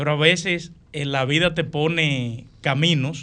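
He has a plain, everyday voice, pitched fairly high. His pitch varies in an ordinary way. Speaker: engineer, professor and congressional candidate. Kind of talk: radio interview.

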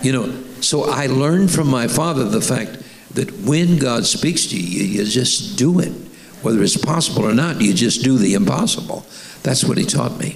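Amid noticeable background noise, a man speaks at a moderate pace, his medium pitch moving in very wide swings. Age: 80s+. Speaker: bishop and senior pastor. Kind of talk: sermon interview. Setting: church.

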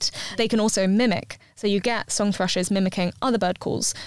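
In a southern English accent, a woman talks at a moderate pace and a medium pitch, with ordinary pitch variation. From London. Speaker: ultra marathon runner and fitness blogger. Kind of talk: casual interview chat.

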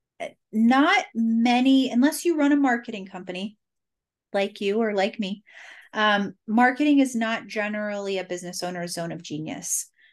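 Against a quiet background, a woman talks at a moderate pace. Her fairly high voice has lively intonation. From Cincinnati, Ohio, US Midwest. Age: 30s. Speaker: marketing entrepreneur. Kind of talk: interview.

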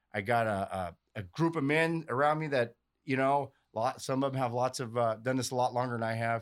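A man with a plain, everyday voice, medium pitch, ordinary pitch variation and a fairly quick pace, in a very clean recording with a silent background. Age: 40s. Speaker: recovering addict, pipeliner and comedian. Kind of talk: casual chat.

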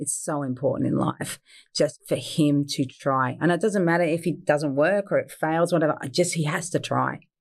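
On a very clean recording with a silent background, a woman with a very deep, low pitch speaks at a moderate pace with ordinary pitch variation. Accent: Australian. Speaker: fine food business owner. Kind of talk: interview.

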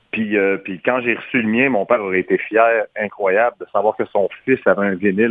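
A man talks with an unremarkable speaking voice at a medium pitch. His pitch variation is ordinary. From Quebec. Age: 40s. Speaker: singer. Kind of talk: radio interview. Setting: phone call.

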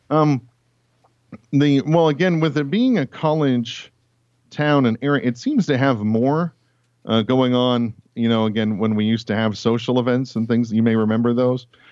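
A man speaks with an American accent at medium pitch and a moderate pace. His loudness is very even, and his pitch varies in an ordinary way. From US Pacific Northwest, Tacoma, Washington. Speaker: pastor. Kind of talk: interview. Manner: halting, many fillers.

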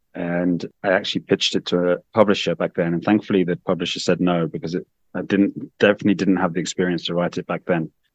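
Someone with an English accent talks at a very fast pace, the sound dry and close with no echo. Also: man. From UK. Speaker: infectious disease doctor. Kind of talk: interview.

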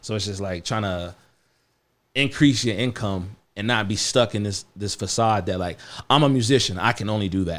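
In a very clean recording with a silent background, a man with an American accent uses a normal speaking voice, fairly low in pitch, at a moderate pace with ordinary pitch variation. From Missouri, US Midwest. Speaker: rapper and songwriter. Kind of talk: casual chat. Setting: studio.

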